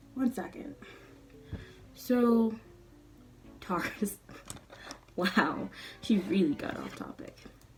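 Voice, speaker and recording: A woman's fairly high voice, lively in intonation and very slow, with long, frequent pauses, big swings in loudness and music in the background. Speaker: beauty vlogger. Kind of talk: makeup tutorial. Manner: casual, chatty.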